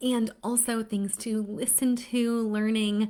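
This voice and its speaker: A woman speaks with a fairly high pitch. Her tone is upbeat. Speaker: literacy educator for parents. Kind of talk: live stream talk to parents. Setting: Facebook Live stream. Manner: fast; upbeat, chatty.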